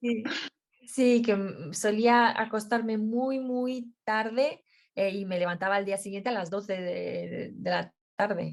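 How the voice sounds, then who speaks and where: Speaking at a very slow pace, a woman uses a fairly high pitch with ordinary pitch variation. She has a Romanian accent. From Romania, then Madrid, Spain from age 11. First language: Romanian (speaking Spanish). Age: young. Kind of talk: interview. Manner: halting.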